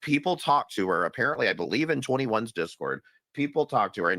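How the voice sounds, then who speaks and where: Talking very fast with very wide pitch swings, a man's bright, sharp voice comes through dry and close with no echo on a very clean recording with a silent background. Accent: American. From US South. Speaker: streamer. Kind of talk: casual chat.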